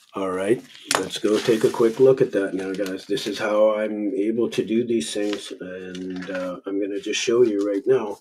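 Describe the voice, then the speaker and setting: Over noticeable background noise, a man speaks in a flat monotone at a fairly low pitch and moderate pace. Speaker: market analyst youtuber. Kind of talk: tutorial. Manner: casual, with frequent fillers.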